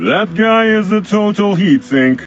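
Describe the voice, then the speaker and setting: A man puts on a character voice pitched high. He speaks at a fairly slow pace. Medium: video game. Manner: stiff, formal, no contractions.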